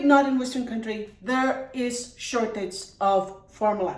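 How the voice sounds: A woman speaks at a fairly slow pace and a high pitch, with ordinary pitch variation. Her tone is slightly mellow, and audible room echo surrounds her.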